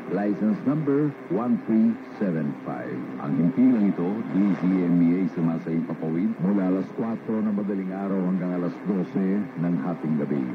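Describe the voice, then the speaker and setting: Through noticeable background noise, a man with a very deep, low pitch speaks fairly slowly with lively intonation. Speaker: radio station announcer. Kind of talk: station sign-off announcement, formal broadcast disclosure read aloud. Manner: formal, steady, brisk, rattling off license numbers.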